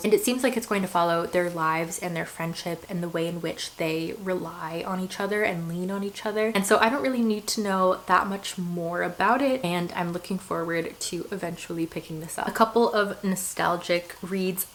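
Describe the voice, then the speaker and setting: Noticeable background noise sits behind a woman who speaks with hardly any pauses. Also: medium pitch for a woman, ordinary pitch variation, moderate pace. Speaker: book reviewer. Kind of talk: casual talk to camera.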